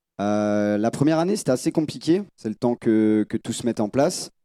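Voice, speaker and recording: A man's fairly low voice with a dark, mellow tone at a moderate pace, in a very clean, silent recording with a dry, close sound and no echo. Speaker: calisthenics athlete and coach. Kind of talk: conference panel talk. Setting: stage with audience. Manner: hesitant, many fillers.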